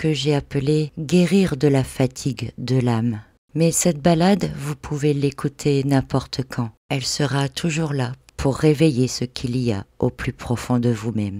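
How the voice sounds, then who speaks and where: Speech at a fairly slow pace comes through on a very clean recording with a silent background. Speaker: spiritual podcaster and meditation guide (hypnosis and NLP). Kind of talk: guided meditation / spiritual podcast narration.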